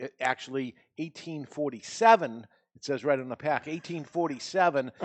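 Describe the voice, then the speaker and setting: Speaking at a moderate pace, a man has a fairly high pitch, ordinary pitch variation and big swings in loudness. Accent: New England. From New England, US. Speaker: podcast panel host. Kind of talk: casual chat. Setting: studio with live audience.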